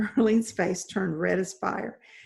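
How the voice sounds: The clip features a natural reading voice.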